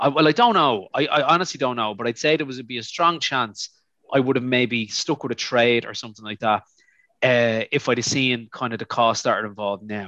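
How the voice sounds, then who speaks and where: Speaking in an Irish accent at a fairly quick pace, a man uses a medium pitch with ordinary variation and a bright, sharp tone against a quiet background. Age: 40s. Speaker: university chaplain. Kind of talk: casual chat.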